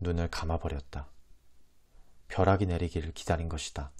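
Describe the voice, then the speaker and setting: Calm, somewhat breathy speech with ordinary pitch variation, on a very clean recording with a silent background. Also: man. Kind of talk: audiobook reading of a classic novel. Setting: close lapel microphone. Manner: soft-spoken, calm ASMR reading.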